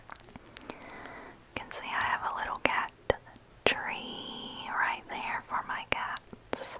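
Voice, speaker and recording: A woman whispering with an American accent, noticeable background noise behind her. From North Carolina. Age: 20s. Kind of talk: ASMR vlog voiceover. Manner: whispered.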